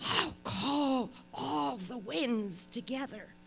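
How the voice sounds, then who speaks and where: A put-on character voice, fairly high in pitch, speaks at a very slow pace. Clear background noise runs underneath. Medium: stage play. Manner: brusque.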